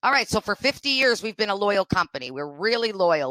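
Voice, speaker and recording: Loud and animated, a woman talks at a very fast pace with a bright, sharp tone, vocal fry, lively intonation and medium pitch. The sound is dry and close with no echo, in a very clean recording with a silent background. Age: 50s. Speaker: diversity and inclusion consultant. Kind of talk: podcast interview.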